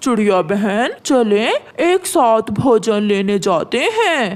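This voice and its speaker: A cartoonish character voice, fairly high in pitch, drawls at a very slow pace. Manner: gruff, stubborn.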